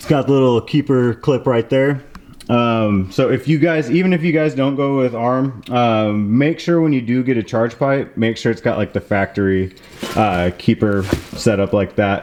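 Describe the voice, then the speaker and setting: Through noticeable background noise, a man talks at a moderate pace and medium pitch with ordinary pitch variation. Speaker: car DIY youtuber. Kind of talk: tutorial. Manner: hesitant, many fillers.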